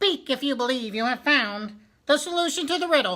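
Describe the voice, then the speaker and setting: Using a put-on character voice, a woman speaks at a moderate pace with a high pitch and lively intonation. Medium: read story.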